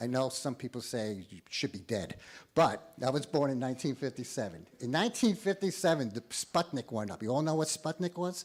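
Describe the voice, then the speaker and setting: A man speaks at a fairly quick pace with vocal fry and very wide pitch swings, recorded very cleanly against a silent background. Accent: American. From New York. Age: 60s. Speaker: college president. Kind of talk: ceremony speech. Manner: halting.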